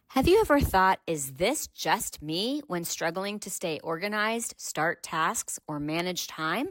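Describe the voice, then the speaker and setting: A woman's voice swings very widely in pitch, recorded very cleanly with a silent background and a dry, close sound with no echo. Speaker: podcast host. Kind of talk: podcast intro.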